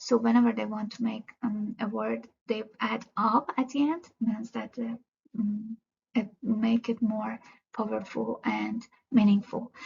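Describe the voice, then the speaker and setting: A woman speaks fairly slowly in a somewhat breathy, fairly high voice with monotone, flat intonation. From Iran, Tehran. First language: Persian. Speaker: student. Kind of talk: class presentation. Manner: halting, many fillers.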